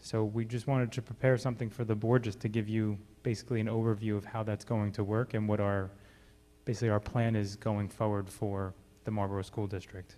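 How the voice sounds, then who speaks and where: Backed by music, a man with a fairly low pitch speaks at a fairly quick pace in monotone, flat intonation. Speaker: school district administrator. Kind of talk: presentation at board meeting. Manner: quiet.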